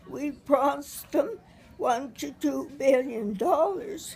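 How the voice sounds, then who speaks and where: With music behind her, a woman of high pitch speaks at a very slow pace with very wide pitch swings. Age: 80s+. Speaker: retired high school teacher. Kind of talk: casual conversation, interview answer.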